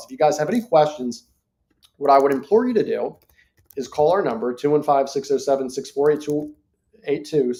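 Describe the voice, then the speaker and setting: A man puts on a raspy character voice, fairly high in pitch, at a moderate pace. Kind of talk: sales pitch, business. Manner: talking too fast.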